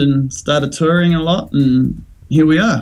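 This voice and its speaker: Speaking with a New Zealand accent, this man has a voice on the fairly high side. That is his sound. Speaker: musician. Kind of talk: casual interview.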